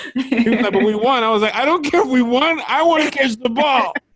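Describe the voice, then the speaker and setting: At a fairly quick pace, a man speaks in an animated tone with ordinary pitch variation. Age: 30s. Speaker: podcast co-host. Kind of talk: casual chat.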